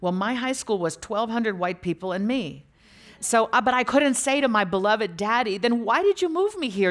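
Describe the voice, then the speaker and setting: This woman has a plain, everyday voice, a fairly high pitch and lively intonation, and she talks at a moderate pace. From US (moved from Lagos, Nigeria as a toddler). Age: 50s. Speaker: author. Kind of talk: public interview on stage. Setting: stage with audience.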